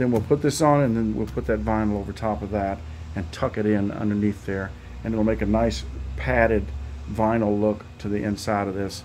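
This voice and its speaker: At a moderate pace, a man talks in a fairly low pitch with a dark, mellow tone over light background noise. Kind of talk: casual project update vlog. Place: garage. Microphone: phone near.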